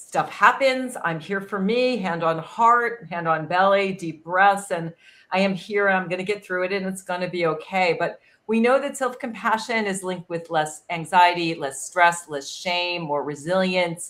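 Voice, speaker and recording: A woman with a normal speaking voice talks at a medium pitch and a moderate pace, with ordinary pitch variation. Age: 60s. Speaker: wellness expert. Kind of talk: panel discussion.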